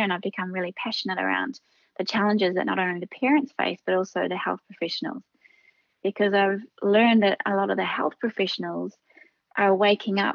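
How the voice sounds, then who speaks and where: Talking at a fairly quick pace, a woman with a New Zealand accent holds a medium pitch with ordinary pitch variation. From New Zealand, Oamaru. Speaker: speaker and trainer. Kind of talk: interview. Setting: phone call.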